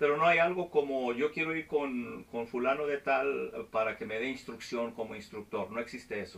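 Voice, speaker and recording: Here a man talks at a moderate pace with hardly any pauses. His pitch varies in an ordinary way. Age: 40s. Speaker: flight instructor and video host; flight instructor, video host. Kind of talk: casual interview. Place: office.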